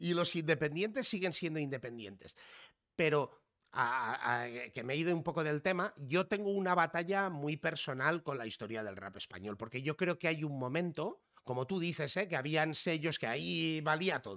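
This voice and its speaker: With lively intonation and a fairly high pitch, a man uses a normal speaking voice at a moderate pace. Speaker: podcast host. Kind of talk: casual chat. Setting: live stream.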